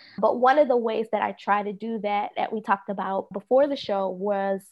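Speaking with an American accent, a woman uses an unremarkable speaking voice at a fairly high pitch. She keeps a moderate pace with ordinary pitch variation. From US, Philadelphia (Southwest Philadelphia). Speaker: tarot reader and equity consultant. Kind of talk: casual interview.

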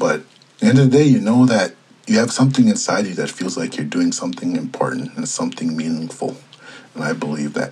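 Noticeable background noise accompanies a speaker with an American accent who moves at a fairly quick pace. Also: man. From Minnesota, Red Lake reservation. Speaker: journalist. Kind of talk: interview.

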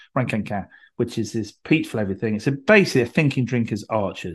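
Talking fairly quickly, a man uses a normal speaking voice pitched in the medium range. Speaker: podcast host. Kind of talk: casual chat. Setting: video call.

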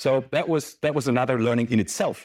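In a very clean recording with a silent background, a man with a German accent talks at a very fast pace in a medium pitch. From Germany. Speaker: sales executive. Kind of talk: conference talk. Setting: stage with audience. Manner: hesitant.

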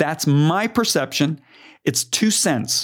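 A man at a fairly slow pace with ordinary pitch variation, in a very clean recording with a silent background. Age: 60s. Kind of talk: casual chat. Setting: studio. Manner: animated.

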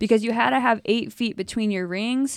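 A woman speaks in a plain, everyday voice, fairly high, with ordinary pitch variation, at a moderate pace. The recording is very clean and dry, close with no echo, over a silent background. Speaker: podcast host. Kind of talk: casual chat about CrossFit.

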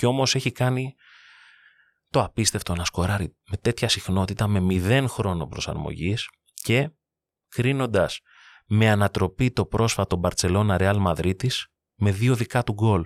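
Recorded dry and close with no echo against a silent background, a man with a fairly low pitch talks at a fairly slow pace, with ordinary pitch variation and long, frequent pauses. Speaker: sports podcast host. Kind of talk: narrated monologue.

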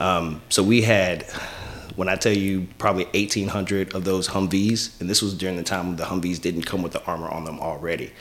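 Over noticeable background noise, a man with an American accent and a very deep, low pitch talks at a fairly quick pace with fairly even intonation. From East Texas (Lufkin). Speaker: chauffeur service owner, military veteran. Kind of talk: podcast interview.

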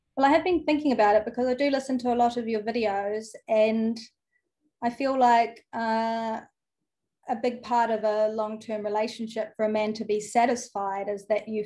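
Against a quiet background, a woman with a New Zealand accent talks at a moderate pace in a fairly high pitch with a dark, mellow tone. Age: 30s. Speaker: former school teacher. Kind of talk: call-in conversation.

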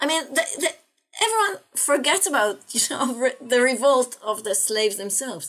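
A woman speaks with an Israeli accent at a fairly slow pace. Her high voice swings very widely in pitch. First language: Hebrew. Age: 60s. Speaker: philosophy lecturer. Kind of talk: interview. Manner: halting, frequent repetitions.

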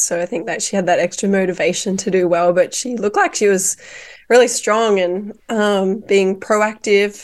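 A woman with an Australian accent, medium pitch, fairly even intonation and a moderate pace, against a quiet background. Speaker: cycling commentator. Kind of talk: casual chat.

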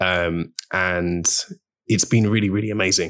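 On a very clean recording with a silent background, a man with a London accent speaks with fairly even intonation. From London, England. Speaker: polyglot and language journalist. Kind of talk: interview conversation. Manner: hesitant with frequent fillers.

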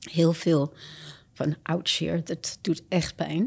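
Vocal fry marks this woman's fairly low voice. The recording is very clean, with a silent background. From Japan, American missionary family. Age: 70s. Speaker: missionary and author. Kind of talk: testimony.

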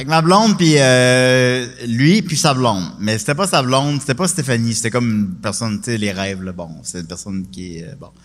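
A man in a Quebec accent, hardly any pauses, very wide pitch swings and big swings in loudness. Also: medium pitch for a man, moderate pace. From Quebec, Charny near Quebec City. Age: 30s. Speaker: comedian. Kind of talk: casual chat.

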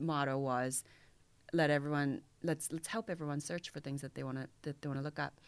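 Recorded very cleanly over a silent background, a woman with a Korean accent speaks in a very deep, low pitch with fairly even intonation. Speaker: fintech mentor and angel investor. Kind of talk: interview.

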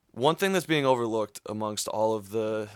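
This man talks fairly quickly in a plain, everyday voice, fairly low in pitch with ordinary pitch variation, and the sound is dry and close with no echo. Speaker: student sports panelist. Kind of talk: casual sports talk show.

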